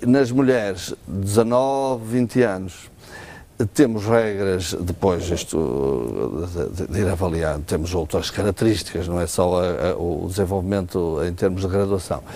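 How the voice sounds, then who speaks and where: Through noticeable background noise, a man with a very deep, low pitch speaks at a fairly slow pace with lively intonation. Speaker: ophthalmologist. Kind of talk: TV health interview. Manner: hesitant, many fillers.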